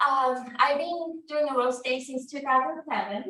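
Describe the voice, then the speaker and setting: A woman in a Japanese accent, lively in intonation, with audible room echo. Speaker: real estate instructor. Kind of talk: class lecture.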